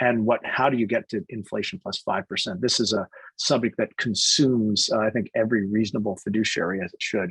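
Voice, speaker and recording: Talking at a very fast pace, a man at medium pitch shows ordinary pitch variation in a dry, close sound with no echo. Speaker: investment advisor. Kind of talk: presentation on a conference call. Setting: conference call. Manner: halting, many fillers and restarts.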